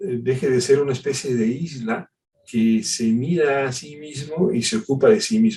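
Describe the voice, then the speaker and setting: A somewhat breathy man's voice, fairly high in pitch, with lively intonation and a fairly slow pace. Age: 60s. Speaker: pastor. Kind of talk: sermon.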